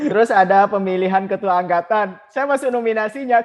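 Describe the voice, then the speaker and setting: A man talks at a fairly quick pace with a high pitch. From Madura, Pamekasan (East Java, Indonesia). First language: Madurese (speaking Indonesian). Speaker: alumni association chairman. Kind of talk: podcast interview.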